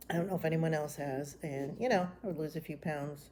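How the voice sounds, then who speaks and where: In an American accent, a woman with a fairly low pitch and a dark, mellow tone talks at a fairly quick pace. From Florida. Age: 60s. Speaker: retiree vlogger. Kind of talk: casual vlog monologue. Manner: relaxed, with frequent ums.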